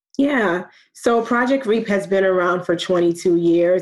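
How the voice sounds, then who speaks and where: Against a quiet background, a woman with a New York accent speaks at a fairly slow pace. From New York (Brooklyn), with some childhood in Nigeria. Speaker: program manager in a diversity initiative. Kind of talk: interview.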